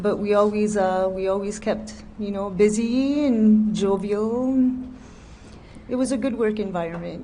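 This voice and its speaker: A somewhat breathy woman's voice with a dark, mellow tone, fairly slow and broken by long, frequent pauses, with audible room echo. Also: medium pitch for a woman, fairly even intonation. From New Brunswick, Canada. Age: 40s. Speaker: nursing home worker, witness. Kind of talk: testimony.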